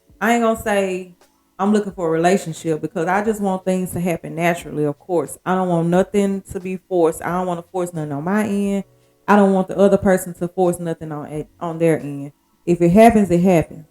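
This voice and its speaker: Music plays in the background as a woman speaks with fairly even intonation. The sound is dry and close, with no echo. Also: medium pitch for a woman. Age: 40s. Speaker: podcast host. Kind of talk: casual monologue. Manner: casual, conversational.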